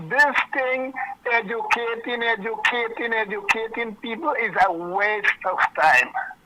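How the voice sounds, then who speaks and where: Over noticeable background noise, a man uses a raised, projected voice at an extremely high pitch, speaking at a very slow pace with ordinary pitch variation. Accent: Guyanese. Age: 60s. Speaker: caller. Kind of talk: phone-in comment.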